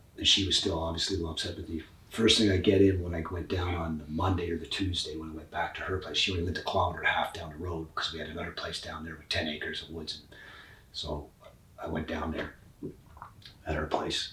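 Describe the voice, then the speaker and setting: In a room with audible echo, a man with a very deep, low pitch speaks at a very fast pace with monotone, flat intonation and big swings in loudness. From Scotland. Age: 60s. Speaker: professional musician. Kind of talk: casual chat. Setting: in person.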